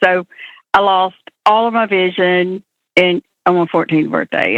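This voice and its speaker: A woman with an Alabama accent and a medium pitch. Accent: Southern US (Alabama). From US South, Alabama. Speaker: blind entrepreneur. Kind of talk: interview.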